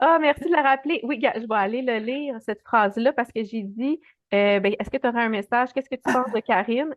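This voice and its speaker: A woman with a Quebec accent at a fairly high pitch, very fast pace and ordinary pitch variation. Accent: Québécois French. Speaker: animal communicator. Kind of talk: casual interview.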